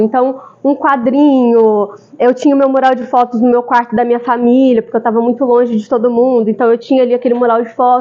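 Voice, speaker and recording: Talking at a very fast pace, a woman with a high pitch speaks in a São Paulo accent. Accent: São Paulo (paulista). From São Paulo, Brazil. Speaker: architect, speaker. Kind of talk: talk to a group. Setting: live audience. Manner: casual, conversational.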